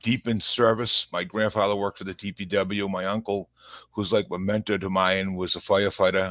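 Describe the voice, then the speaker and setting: In a strong Boston accent, a man speaks at a fairly low pitch against a quiet background, with a dry, close sound and no echo. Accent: thick Boston. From Massachusetts, Revere near Boston. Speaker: police officer. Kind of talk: podcast interview. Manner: halting, many fillers and repeats.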